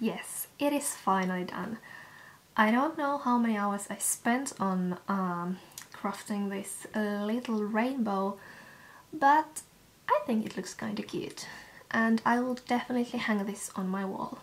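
Speaking fairly slowly with a Finnish accent, a woman keeps a fairly high pitch with ordinary pitch variation. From Finland. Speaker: vlogger. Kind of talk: vlog. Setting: outdoors. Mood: relaxed, a bit self-mocking. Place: home room. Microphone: camera far.

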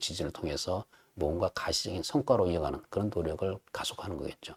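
Very deep and low, a man's voice moves at a fairly quick pace with ordinary pitch variation. The sound is dry and close, with no echo. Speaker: think tank director giving a lecture. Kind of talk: lecture. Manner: frequent filler sounds (아, 어).

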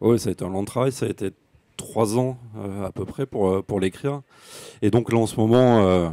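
With a dark, mellow tone and a dry, close sound with no echo, the speech moves at a moderate pace with ordinary pitch variation and long, frequent pauses. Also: man, fairly low pitch for a man. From France, Médoc (Gironde). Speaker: author and university lecturer. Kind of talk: author talk at book fair.

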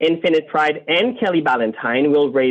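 A man speaks with a French accent. His pace is moderate. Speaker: community group board member. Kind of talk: prepared presentation to city council. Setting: video call.

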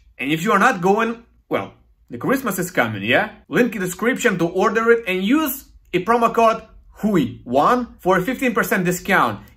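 At a moderate pace, a man speaks in a high pitch with lively intonation and a bright, sharp tone, over a quiet background. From Ukraine. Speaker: YouTuber and music commentator; YouTuber, music commentator. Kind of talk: video review monologue. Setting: home balcony. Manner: casual, animated. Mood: sarcastic, opinionated.

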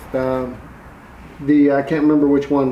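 This man's voice carries audible room echo. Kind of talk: casual explanatory vlog talk. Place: garage. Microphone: camera far.

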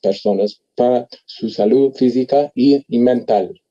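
A man speaks in a dark, mellow tone with an English accent. The background is quiet. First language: English (speaking Spanish). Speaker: botanist; panelist. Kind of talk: panel discussion. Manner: halting. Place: home room. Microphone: video call.

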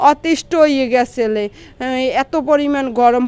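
A woman talks with fairly even intonation and a high pitch. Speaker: vlogger and mother. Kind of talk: casual vlog narration.

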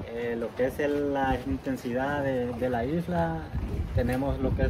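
The speaker is male. His words come through over noticeable background noise. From El Salvador. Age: 40s. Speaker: island resident. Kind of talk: interview. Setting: outdoors. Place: waterside. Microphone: phone near.

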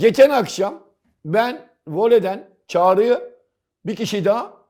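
On a very clean recording with a silent background, a man speaks in an animated tone with lively intonation. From Istanbul, Turkey (Karagümrük). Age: 60s. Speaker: football commentator. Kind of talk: casual chat.

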